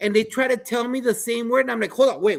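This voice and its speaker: This man talks in an animated tone with a high pitch and a non-native accent. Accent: non-native English, noticeable. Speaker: podcast host and school principal. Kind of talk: panel discussion.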